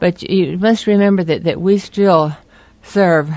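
With a normal speaking voice, a woman talks at a fairly slow pace with fairly even intonation, in a dry sound with no echo. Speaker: interviewee. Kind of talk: interview answer.

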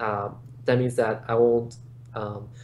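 A man with an American accent speaks at a moderate pace in a somewhat breathy, monotone, flat voice. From Los Angeles, California. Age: 20s. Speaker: esports player and attorney; attorney. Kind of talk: interview. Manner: halting, many repetitions. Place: home room. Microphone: webcam.

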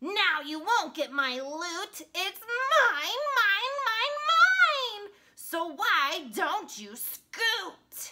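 A woman performs a put-on character voice at an extremely high pitch, with big pitch swings. Her tone is bright and sharp, and her pace is very slow.

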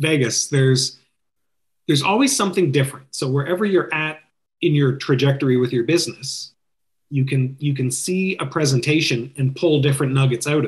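Speaking at a moderate pace with a Canadian accent, a man uses a fairly high, somewhat breathy voice against a quiet background. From Canada, Ontario (Toronto area). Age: 50s. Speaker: wedding DJ business owner. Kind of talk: interview podcast chat. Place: home room. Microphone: webcam.

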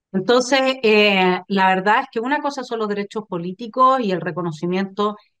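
A woman at a fairly slow pace, lively in intonation, against a quiet background. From Chile. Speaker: political commentator, channel host. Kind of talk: political talk show discussion. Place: home room. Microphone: video call.

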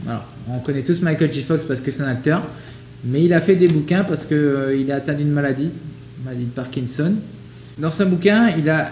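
A somewhat breathy man talks at a fairly quick pace with ordinary pitch variation, with audible room echo and light background noise. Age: 30s. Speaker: podcast co-host. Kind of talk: casual chat. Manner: halting. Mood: relaxed, reflective. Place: home room.

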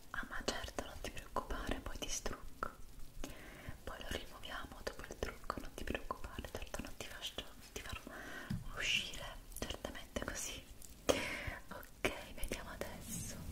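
Fairly slow whispering from a woman, broken by long, frequent pauses. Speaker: ASMR creator. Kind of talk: ASMR makeup roleplay. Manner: whispered; soft-spoken, calm. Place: home room.

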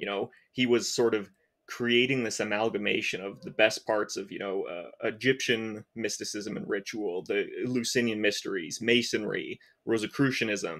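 A man talks at a moderate pace. Nothing much is heard behind him, as the background is quiet. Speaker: researcher. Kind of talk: casual chat. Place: home room.

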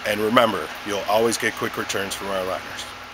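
Noticeable noise sits behind a man who talks at a fairly quick pace. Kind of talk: product presentation. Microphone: phone near.

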